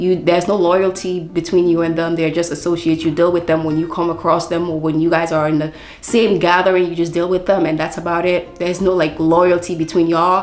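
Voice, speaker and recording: The speech moves at a fairly quick pace with hardly any pauses and a monotone, flat intonation, backed by audible room echo and noticeable background noise. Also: woman, fairly low pitch for a woman. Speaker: book vlogger. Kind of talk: casual book review vlog. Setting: at home.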